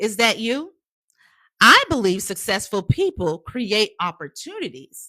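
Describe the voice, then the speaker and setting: Animated and fairly high, a woman's voice moves through very wide pitch swings at a fairly slow pace in a very clean, dry, close recording with no echo and a silent background. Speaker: career coach. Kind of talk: live-stream motivational class.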